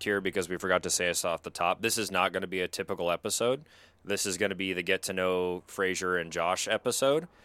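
A man with an American accent talks very fast in a fairly low pitch with ordinary pitch variation and a bright, sharp tone, captured in a very clean recording with a silent background and a dry, close sound with no echo. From US Pacific Northwest.

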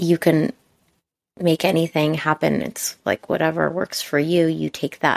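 A woman with a very deep, low pitch talks at a fairly slow pace with long, frequent pauses, in a dry, close sound with no echo. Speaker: podcast co-host. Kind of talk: casual chat, unscripted podcast conversation.

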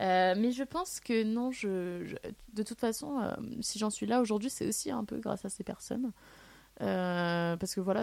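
The speaker is a woman. Her recording is very clean, and the background is silent. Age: 20s. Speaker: student living with alopecia. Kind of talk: testimony. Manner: halting.

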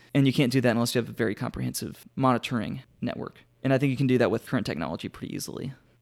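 A man with a medium-pitched voice and vocal fry talks at a very fast pace with hardly any pauses and ordinary pitch variation. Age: 20s. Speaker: political candidate. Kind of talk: casual interview.

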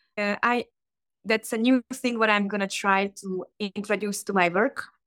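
A woman speaks with a Hungarian accent. The sound is dry and close, with no echo. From Hungary, small town. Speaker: tattoo artist. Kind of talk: casual interview. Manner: animated, laughs often.

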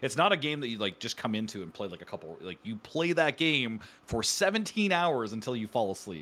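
A man speaks in a Canadian accent at a medium pitch with very wide pitch swings. His pace is fairly quick, with hardly any pauses. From Canada. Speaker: streamer. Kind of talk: casual interview chat.

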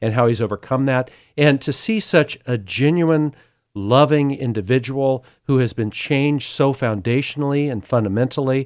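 A man with an ordinary speaking voice talks at a moderate pace and medium pitch, with ordinary pitch variation, in a very clean recording with a silent background. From US West, Sacramento, California. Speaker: agricultural communicator and charity board member. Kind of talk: testimony.

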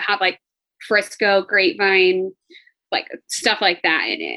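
Speaking with an American accent at a moderate pace, this is a plain, everyday voice with fairly even intonation. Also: woman. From Fort Worth, Texas. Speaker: flight attendant and real estate agent. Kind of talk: casual chat.

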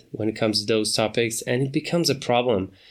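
On a very clean recording with a silent background, a man speaks with a non-native accent in a medium pitch. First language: not English. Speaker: podcast host. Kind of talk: casual solo monologue. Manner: hesitant, many fillers.

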